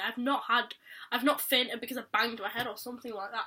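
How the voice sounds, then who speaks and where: A woman's high, bright, sharp voice at a very fast pace, with fairly even intonation. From Yorkshire, England. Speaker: vlogger. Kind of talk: personal vlog.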